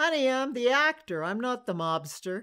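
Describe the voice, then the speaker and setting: A woman puts on a character voice in a New York accent, pitched high. She keeps a moderate pace. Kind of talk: interview answer. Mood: amused, smiling.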